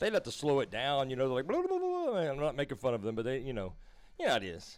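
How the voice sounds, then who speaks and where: A man with a Southern US accent, fairly high in pitch, at a very fast pace. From US South, Louisiana. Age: 40s. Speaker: crypto trading streamer. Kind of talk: live stream chat. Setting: live stream. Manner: casual, animated.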